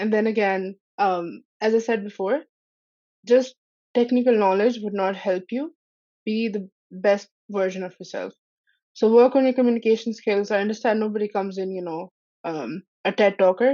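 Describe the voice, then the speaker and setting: Moderate pace and long, frequent pauses from a woman at medium pitch, with ordinary pitch variation. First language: not English. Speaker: Salesforce app partner professional. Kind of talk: podcast interview.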